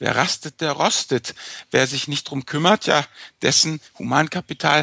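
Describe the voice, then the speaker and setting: A man's fairly high voice with vocal fry, a bright, sharp tone, ordinary pitch variation and a moderate pace, in a dry, close sound with no echo and a quiet background. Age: 50s. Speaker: finance blogger, podcast co-host. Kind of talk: casual chat. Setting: remote podcast recording.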